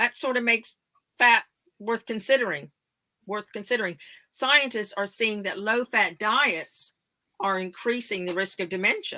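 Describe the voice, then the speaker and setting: With an American accent, a woman talks at a moderate pace and a fairly high pitch, using a bright, sharp tone, ordinary pitch variation and long, frequent pauses, in a dry, close sound with no echo. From United States. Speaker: wellness advocate. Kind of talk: interview.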